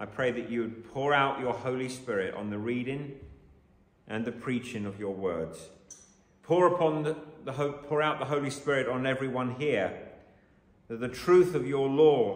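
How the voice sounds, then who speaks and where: The speech moves at a moderate pace with long, frequent pauses and ordinary pitch variation. Room echo is audible. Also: man. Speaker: preacher. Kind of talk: sermon. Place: church.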